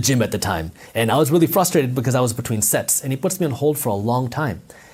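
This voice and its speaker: A man with a somewhat breathy, medium-pitched voice talks at a very fast pace in an animated tone with lively intonation. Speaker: entrepreneur and finance content creator. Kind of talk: interview conversation. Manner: animated storytelling.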